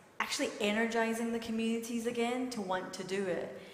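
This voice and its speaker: A woman's fairly even voice with a Scottish accent, amid noticeable background noise and audible room echo. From Scotland, Glasgow. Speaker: community leader. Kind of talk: lecture Q&A. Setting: hall with audience, live streamed. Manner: conversational.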